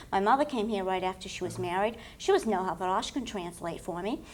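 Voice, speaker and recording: Noticeable background noise runs under the clip. The woman moves at a fairly quick pace. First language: French. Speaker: political candidate. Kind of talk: panel discussion.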